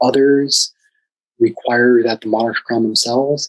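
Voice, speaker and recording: Soft-spoken and monotone, a man talks at a medium pitch and moderate pace in a dry, close sound with no echo. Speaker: class instructor. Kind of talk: lecture. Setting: video call. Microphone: too quiet.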